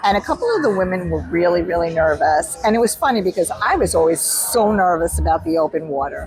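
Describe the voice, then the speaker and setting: Over noticeable background noise, a woman with a New York accent talks at a very fast pace, with very even loudness and hardly any pauses. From Long Island, New York. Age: 60s. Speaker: author and endurance athlete. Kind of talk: casual interview. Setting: in Austin, Texas.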